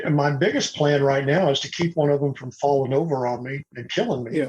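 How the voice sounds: The voice has a slightly mellow tone with a slightly husky edge and ordinary pitch variation. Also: man.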